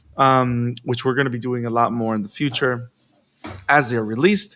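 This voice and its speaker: This man talks at a fairly quick pace with a Spanish accent. His tone is animated, bright and sharp. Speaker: podcast host. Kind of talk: casual chat.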